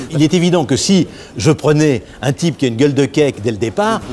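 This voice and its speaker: Animated in tone, a man with a fairly high pitch talks at a fairly quick pace with very wide pitch swings over noticeable background noise. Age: 60s. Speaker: film director. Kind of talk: casual chat. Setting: studio. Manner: halting.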